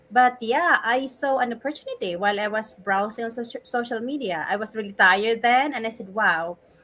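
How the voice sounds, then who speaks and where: With music in the background, a woman with a fairly high pitch talks at a moderate pace with ordinary pitch variation. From Philippines. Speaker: online business owner. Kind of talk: personal testimony in panel chat.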